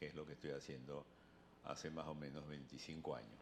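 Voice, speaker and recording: A man talks with vocal fry in a very deep, low voice. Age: 70s. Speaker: pastor and itinerant preacher. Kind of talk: interview.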